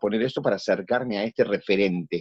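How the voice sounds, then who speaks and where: A Rioplatense accent at a moderate pace, dry and close with no echo, over a quiet background. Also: man. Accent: Argentine Rioplatense Spanish. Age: 60s. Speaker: actor. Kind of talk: interview conversation.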